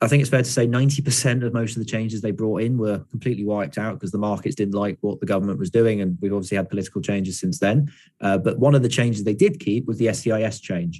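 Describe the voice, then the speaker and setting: With a southern English accent and a dark, mellow tone, the speaker rushes along at a very fast pace with hardly any pauses and ordinary pitch variation, on a very clean recording with a silent background. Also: man, fairly low pitch for a man. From southeast England, London. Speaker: startup founder giving a lecture. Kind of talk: lecture Q&A.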